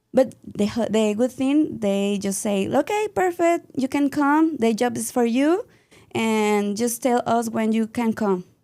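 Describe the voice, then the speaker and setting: A woman with a Mexican accent and a fairly high pitch speaks in a dark, mellow tone at a fairly slow pace, with lively intonation. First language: Spanish. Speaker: dance and yoga teacher. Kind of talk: interview. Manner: halting.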